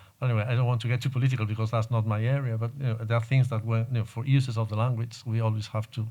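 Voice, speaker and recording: Somewhat breathy and monotone, a man's medium-pitched voice carries a dark, mellow tone with flat intonation. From Galicia, Spain. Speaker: poet and translator. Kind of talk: panel discussion.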